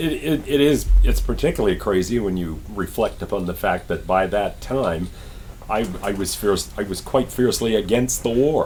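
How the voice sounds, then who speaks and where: Over noticeable background noise, a man with an American accent speaks at a moderate pace and medium pitch with lively intonation. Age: 70s. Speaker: Vietnam-era military volunteer. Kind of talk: podcast interview answer.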